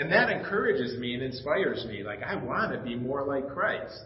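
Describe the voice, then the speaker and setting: A man speaks at a moderate pace. The room echo is audible, and background noise is noticeable. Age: 50s. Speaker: pastor. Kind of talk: sermon. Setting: church. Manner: casual.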